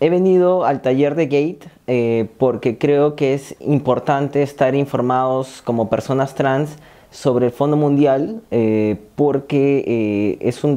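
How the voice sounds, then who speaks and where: A man speaks at a fairly slow pace with a dark, mellow tone over a quiet background. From Peru, Lima; Peru. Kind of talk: testimony. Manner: halting, many fillers. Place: empty room. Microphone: lapel.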